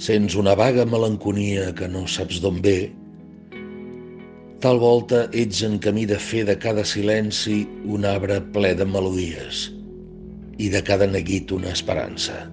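Backed by music, a man speaks at a very slow pace with fairly even intonation and long, frequent pauses. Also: fairly low pitch for a man. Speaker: actor. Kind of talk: poetry reading.

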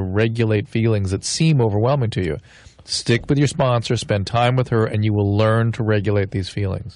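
The intonation is fairly even. The sound is dry with no echo, and the background is quiet. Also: man. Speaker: physician, radio advice host. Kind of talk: radio call-in advice. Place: studio.

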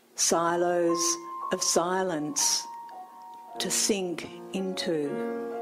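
Noticeable background noise surrounds a woman's fairly low voice. She speaks at a very slow pace, with long, frequent pauses. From Melbourne, Australia. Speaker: poet. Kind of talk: live poetry reading. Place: bar. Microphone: handheld.

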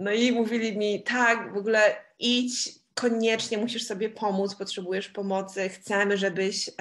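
At a moderate pace, a woman talks in a normal speaking voice at a medium pitch with fairly even intonation. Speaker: interpreter. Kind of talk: live interpretation.

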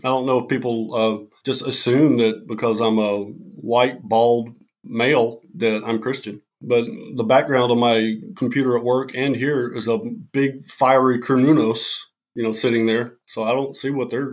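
A man with an unremarkable speaking voice talks fairly slowly at a medium pitch, his intonation fairly even. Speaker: military veteran and Wiccan cleric. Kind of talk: casual chat. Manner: casual.

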